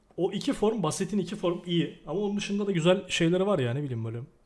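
A man's high-pitched voice at a very fast pace. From Turkey. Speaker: podcast host. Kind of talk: casual chat.

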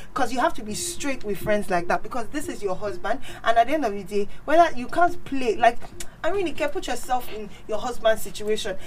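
Over noticeable background noise, a woman speaks at a very fast pace with a high pitch and very wide pitch swings. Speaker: guest. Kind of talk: casual chat.

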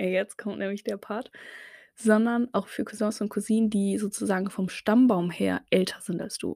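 A woman at a medium pitch with a dark, mellow tone speaks at a moderate pace in a flat monotone, in a very clean recording with a silent background. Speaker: podcaster. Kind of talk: casual monologue. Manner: hesitant, many filler sounds.

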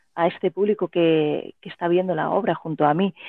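A woman's medium-pitched, unremarkable speaking voice at a moderate pace. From Spain, Elche (Alicante). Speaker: writer and playwright. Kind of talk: interview.

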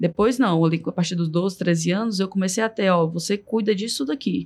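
A woman talks at a fairly quick pace with lively intonation. Hers is a plain, everyday voice at medium pitch. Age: 30s. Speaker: supermarket marketing director. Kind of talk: podcast interview.

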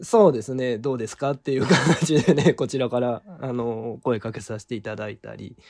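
A man with a plain, everyday voice speaks at a medium pitch and a moderate pace, with ordinary pitch variation, big swings in loudness and hardly any pauses. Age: 40s. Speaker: violin maker, association head. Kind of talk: interview.

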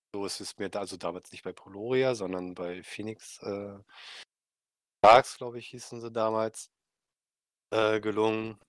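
A man speaks at a moderate pace in a very clean recording with a silent background and a dry, close sound with no echo. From Mecklenburg-Vorpommern, northeast Germany. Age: 30s. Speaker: esports club player. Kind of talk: podcast interview.

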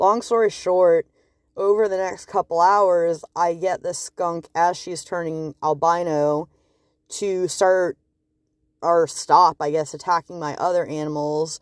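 Over a quiet background, a woman with an ordinary speaking voice talks at a fairly low pitch and a fairly slow pace, her intonation fairly even. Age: 20s. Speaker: podcast host. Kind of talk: solo monologue. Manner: casual, rambling with fillers.

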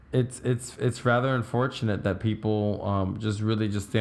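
This is a man's voice at a fairly low pitch. He speaks at a moderate pace. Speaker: podcast host. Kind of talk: casual chat. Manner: energetic.

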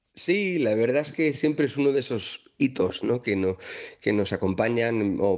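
A man with a medium pitch talks at a moderate pace, his pitch varying in an ordinary way. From Madrid, Spain. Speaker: singer-songwriter. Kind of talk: interview. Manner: halting, repeats words.

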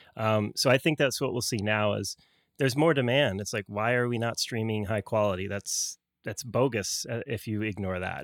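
This man has an unremarkable speaking voice at medium pitch, talking at a moderate pace in a dry, close sound with no echo on a very clean recording with a silent background. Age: 30s. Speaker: audio technology entrepreneur and recording engineer. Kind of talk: interview.

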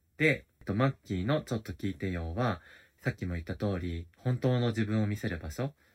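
Against a very clean, silent background, a man with a fairly low, somewhat breathy voice talks fairly quickly with lively intonation. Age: 30s. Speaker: podcast host. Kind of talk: casual solo diary talk. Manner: halting, many fillers.

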